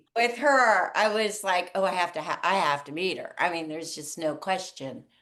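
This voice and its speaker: A woman with an American accent speaks at a moderate pace, her tone bright and sharp. Her intonation is lively, and the background is quiet. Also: medium pitch for a woman. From US East Coast. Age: 60s. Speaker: author and water charity founder. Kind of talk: interview storytelling. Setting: podcast. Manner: halting.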